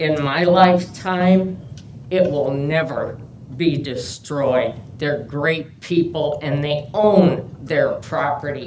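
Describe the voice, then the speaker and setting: Amid noticeable background noise and audible room echo, a woman with a very deep, low pitch and an American accent speaks at a very slow pace with ordinary pitch variation. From Perrysburg Heights, Ohio, US Midwest. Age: 80s+. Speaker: public commenter at city council hearing. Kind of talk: public comment at hearing.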